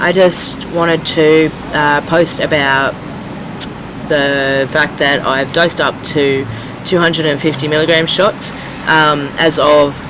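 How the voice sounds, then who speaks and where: Amid noticeable background noise, a man with a fairly high pitch speaks very slowly in a flat, monotone way, his loudness very even. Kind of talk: casual talk to camera.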